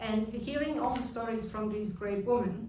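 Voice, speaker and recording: A woman with a German accent at a fairly high pitch and moderate pace, with fairly even intonation, audible room echo and noticeable background noise. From Germany. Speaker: business leader. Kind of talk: speech. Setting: reception hall with audience. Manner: hesitant.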